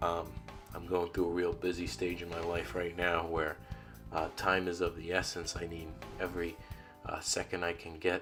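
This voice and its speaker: A man's very deep, low voice at a moderate pace, fairly even in intonation, with music in the background. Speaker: gaming YouTuber. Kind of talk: casual talk to camera. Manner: hesitant, many filler words.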